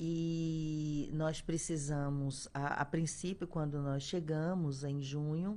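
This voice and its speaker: A woman with a strong Pernambuco accent speaks in a very deep, low voice with a dark, mellow tone. Her delivery is monotone and flat, very slow, with hardly any pauses. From Brazil, Pernambuco (Caruaru). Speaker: health official. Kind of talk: radio interview. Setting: radio studio. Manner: hesitant, many fillers. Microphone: too far from microphone at start.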